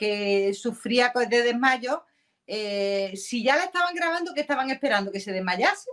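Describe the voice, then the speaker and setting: Speaking at a fairly slow pace over a quiet background, a woman uses lively intonation in a high-pitched voice. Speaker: YouTuber. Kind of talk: casual chat. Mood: indignant, animated. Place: home room.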